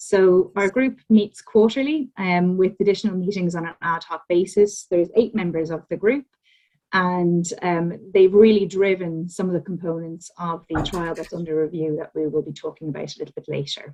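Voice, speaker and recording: A woman's medium-pitched voice with an Irish accent, dark and mellow in tone, with ordinary pitch variation, big swings in loudness and a moderate pace. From Ireland. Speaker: academic researcher, physiotherapist. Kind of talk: lecture. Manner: hesitant with frequent ums.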